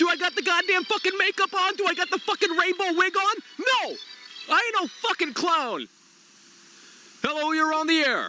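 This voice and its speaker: A man's raised, projected voice at an extremely high pitch, with ordinary pitch variation, a moderate pace and long, frequent pauses. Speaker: gaming streamer. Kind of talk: live stream call-in chat. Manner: animated; loud.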